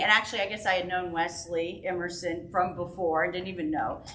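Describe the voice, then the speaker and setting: Over noticeable background noise and audible room echo, a woman speaks at a fairly low pitch. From Memphis, Tennessee. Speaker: cellist. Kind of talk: personal remarks at church forum. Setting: parish hall with audience.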